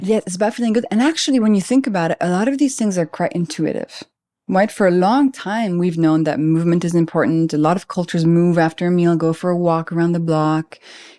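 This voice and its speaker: Very fast and lively in intonation, a dark, mellow voice with a French accent comes through on a very clean recording with a silent background. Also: woman, fairly low pitch for a woman. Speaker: biochemist. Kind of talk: podcast interview answer.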